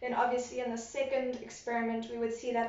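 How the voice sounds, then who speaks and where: A woman with a high pitch talks at a very fast pace against noticeable background noise. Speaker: science teacher. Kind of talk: recorded lesson.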